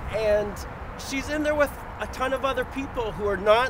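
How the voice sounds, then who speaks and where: Loud background noise sits behind a man speaking at a moderate pace. The sound is dry with no echo, and his pitch varies in an ordinary way. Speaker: prison abolition activist. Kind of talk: protest speech. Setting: outdoors, solidarity protest. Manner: earnest, campaigning; hesitant, repeating words. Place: street. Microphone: phone near.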